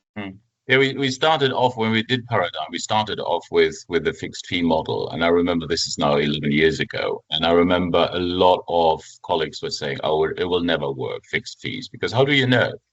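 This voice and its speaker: The speaker is a man with a German accent. He keeps up a fairly quick pace. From Germany. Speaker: family lawyer, former judge. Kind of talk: podcast interview.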